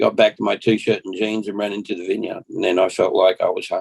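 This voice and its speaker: Heard in a dry, close sound with no echo, the speaker has an Australian accent. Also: man. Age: 60s. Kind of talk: podcast interview, personal testimony. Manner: halting, repeats words.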